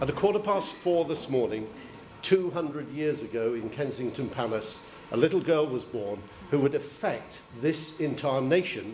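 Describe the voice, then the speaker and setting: A man with a southern English accent, fairly high pitch and moderate pace, plus audible room echo and noticeable background noise. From Isle of Wight, England. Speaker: deputy lord lieutenant. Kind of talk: formal ceremonial speech. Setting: town hall reception with audience. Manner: formal.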